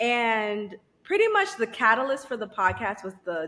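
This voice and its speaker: A woman's fairly high voice carries a bright, sharp tone and ordinary pitch variation. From Haitian-Caribbean background. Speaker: psychiatric nurse practitioner and podcaster. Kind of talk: casual interview. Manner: quiet, reserved.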